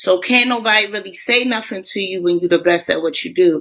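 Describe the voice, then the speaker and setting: A woman with a Baltimore accent speaks in an animated, bright and sharp tone. Her medium pitch carries lively intonation at a fairly quick pace. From Baltimore, US. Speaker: teacher. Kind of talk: podcast interview. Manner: casual, animated.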